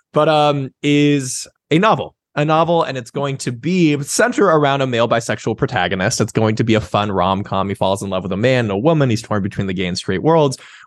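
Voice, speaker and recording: Over a quiet background, a man with a normal speaking voice talks at a fairly quick pace with hardly any pauses, medium pitch and lively intonation. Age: 30s. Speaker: sex writer. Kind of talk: interview.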